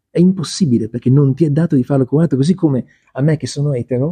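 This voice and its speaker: A man with a fairly high, somewhat breathy voice talks with ordinary pitch variation in a dry, close sound with no echo. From Milan, northern Italy. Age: 50s. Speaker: author, crossdresser. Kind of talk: interview conversation. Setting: bookshop café.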